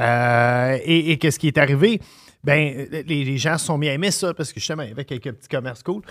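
The speech moves at a fairly quick pace in an ordinary speaking voice, with ordinary pitch variation. The recording is very clean, with a silent background. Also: man, fairly high pitch for a man. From Montreal, Quebec. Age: 40s. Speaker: podcast host and chef. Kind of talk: casual chat.

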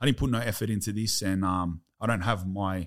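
An Australian-accented man at a moderate pace, on a very clean recording with a silent background. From Australia, Sydney. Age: 30s. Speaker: former prisoner. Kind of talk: casual chat.

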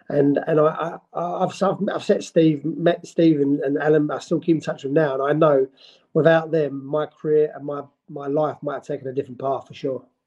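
With a London accent, a man speaks at a moderate pace in a fairly high pitch, his tone dark and mellow and his intonation fairly even. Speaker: football manager. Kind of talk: interview.

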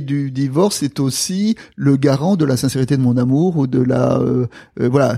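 The voice carries a dark, mellow tone with ordinary pitch variation. It's a very clean recording with a silent background. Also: man. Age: 60s. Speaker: theologian. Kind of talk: casual chat. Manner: halting.

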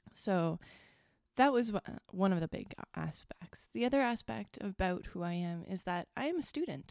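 A woman with a Canadian accent and a medium pitch swings her pitch very widely, heard with a dry, close sound and no echo. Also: moderate pace. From Northern Ontario, Canada. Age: 30s. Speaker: podcast host. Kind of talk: personal solo monologue.

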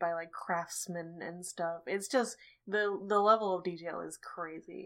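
In a plain, everyday voice, a woman speaks at a fairly slow pace with fairly even intonation on a very clean recording with a silent background. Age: 20s. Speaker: horror movie podcast co-host. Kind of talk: casual chat.

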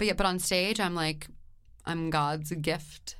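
Audible room echo hangs on a woman's voice as she talks. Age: 30s. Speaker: comedian and singer. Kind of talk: casual interview chat. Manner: animated.

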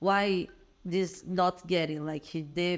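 A woman with a Brazilian accent, speaking at a very slow pace. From Brazil, Minas Gerais. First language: Portuguese. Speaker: entrepreneur, event organizer. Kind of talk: casual interview chat.

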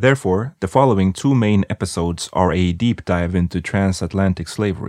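Recorded dry and close with no echo against a quiet background, a man with a non-native accent and a very deep, low pitch talks at a fairly quick pace with hardly any pauses and ordinary pitch variation. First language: not English. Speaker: history podcast host. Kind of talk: scripted narration.

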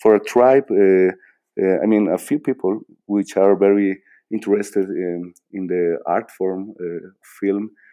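A man with a Bolivian accent at a very slow pace. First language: Spanish. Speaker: filmmaker. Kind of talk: interview. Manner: halting, many repetitions and fillers.

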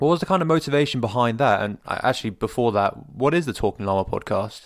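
With a British accent, a man talks at a very fast pace. His pitch is medium with ordinary variation, on a very clean recording with a silent background. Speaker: podcast host. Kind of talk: casual interview.

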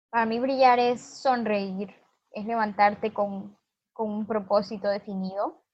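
Fairly high in pitch, the woman keeps her intonation fairly even. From Honduras. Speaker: activist, foundation founder. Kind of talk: interview. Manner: halting.

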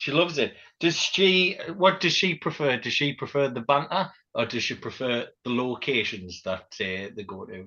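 A man with a fairly high voice and vocal fry speaks at a moderate pace. His pitch swings very widely, and his loudness swings a lot too. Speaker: podcast host. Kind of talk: casual banter.

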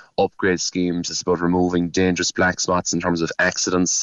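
This man talks at a fairly quick pace in a very deep, low pitch. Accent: Cork. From Cork East, Ireland. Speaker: local politician. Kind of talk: radio interview. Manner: halting, repetitive.

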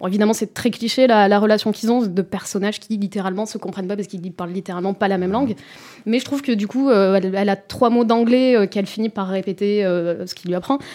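Speaking at a very fast pace, a woman uses a dark, mellow tone at medium pitch with fairly even intonation. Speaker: film critic. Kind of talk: casual chat. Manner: halting, repeats words.

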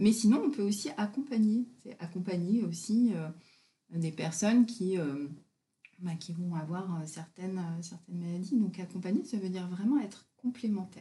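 A woman speaks at a moderate pace with long, frequent pauses and ordinary pitch variation. Her voice is medium in pitch, dark, mellow and somewhat breathy. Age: 50s. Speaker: naturopath and body-mind therapist. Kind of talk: casual interview. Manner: hesitant, many fillers.

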